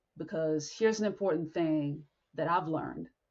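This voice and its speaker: A woman's very deep, low voice sounds somewhat breathy and carries ordinary pitch variation. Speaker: podcast host. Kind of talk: motivational talk. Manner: blunt.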